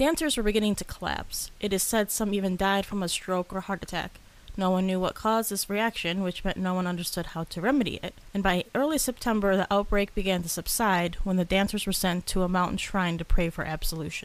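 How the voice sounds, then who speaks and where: A woman speaks at medium pitch and a fairly quick pace, with ordinary pitch variation and a normal speaking voice. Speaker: podcast co-host. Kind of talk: casual chat.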